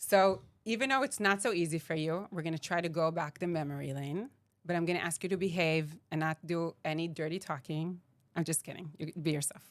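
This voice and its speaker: In a very clean recording with a silent background, a woman with an Israeli accent talks at a fairly quick pace, her fairly low pitch showing ordinary variation. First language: Hebrew. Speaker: podcast host. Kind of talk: casual interview.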